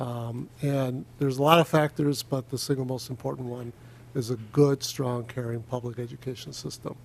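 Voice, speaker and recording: Fairly even intonation and a moderate pace mark this man's medium-pitched voice. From US, child of Spanish-speaking immigrants. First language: Spanish. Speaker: state legislator. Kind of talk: committee meeting remarks. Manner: halting, many fillers.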